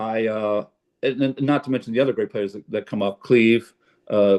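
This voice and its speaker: A man's medium-pitched voice at a moderate pace. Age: 60s. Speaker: jazz pianist. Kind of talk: casual chat. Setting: video call. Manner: halting, many fillers.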